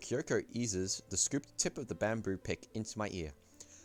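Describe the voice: The speech is plain reading aloud.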